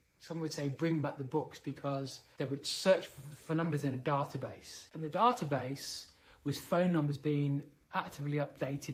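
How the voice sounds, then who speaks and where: Somewhat breathy, a man talks at a moderate pace. His pitch is fairly high. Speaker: leadership speaker. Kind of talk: talking-head monologue.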